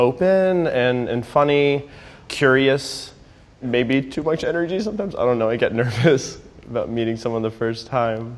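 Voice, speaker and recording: This is a man with an American accent in a normal speaking voice, medium in pitch, with ordinary pitch variation at a moderate pace. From US Northeast (Connecticut). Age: 30s. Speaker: actor and server on a blind date. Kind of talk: interview monologue.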